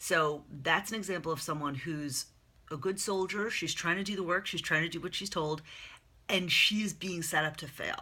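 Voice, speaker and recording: A woman's fairly low-pitched voice, bright and sharp in tone, at a moderate pace. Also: ordinary pitch variation. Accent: American. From US Northeast (Long Island, New York). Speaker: career and life coach. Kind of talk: casual monologue to camera. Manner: conversational with fillers.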